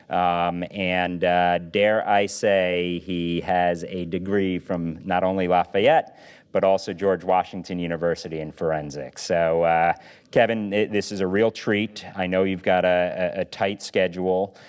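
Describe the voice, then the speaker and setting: Against a quiet background, a man speaks with a very deep, low pitch and monotone, flat intonation. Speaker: forum moderator. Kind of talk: interview. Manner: loud.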